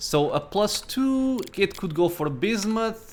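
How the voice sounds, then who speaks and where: Music plays in the background as a man speaks at a very slow pace. His pitch swings very widely. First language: not English. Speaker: gaming YouTuber. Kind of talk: let's play commentary. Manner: casual, thinking aloud.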